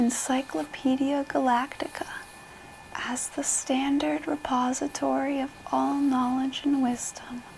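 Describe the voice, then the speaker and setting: Against noticeable background noise, a soft-spoken voice goes at a fairly slow pace. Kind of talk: book reading.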